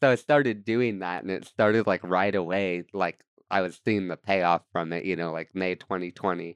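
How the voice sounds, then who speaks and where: A man with a very deep, low pitch speaks with hardly any pauses, the sound dry and close with no echo. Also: ordinary pitch variation, moderate pace. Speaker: content creator and musician. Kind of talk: casual chat. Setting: studio. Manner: loud.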